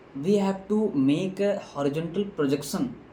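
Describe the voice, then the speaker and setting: Against noticeable background noise, a man talks at a fairly slow pace with ordinary pitch variation. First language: non-native English speaker. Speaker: engineering tutor. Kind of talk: lecture tutorial.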